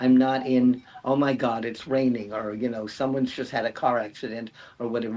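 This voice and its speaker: At a fairly quick pace, a man talks in a medium pitch. He has a normal speaking voice. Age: 60s. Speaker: writer. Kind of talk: panel discussion.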